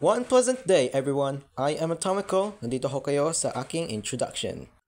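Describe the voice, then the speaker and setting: His pace is fairly quick. This man has fairly high pitch and very wide pitch swings. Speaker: YouTuber and aspiring voice actor. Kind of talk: casual vlog introduction. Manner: fast.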